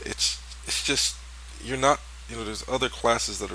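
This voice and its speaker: A man talks in a relaxed tone with audible room echo. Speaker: gaming commentator. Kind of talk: gameplay commentary. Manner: casual relaxed; fast.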